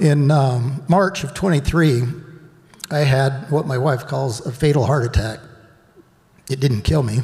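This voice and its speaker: A man's fairly high, dark and mellow voice, somewhat breathy and shaky, at a fairly slow pace with ordinary pitch variation, long and frequent pauses and audible room echo. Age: old. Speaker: retreat participant sharing healing story. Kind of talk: testimony. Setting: stage with audience. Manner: shaky, emotional.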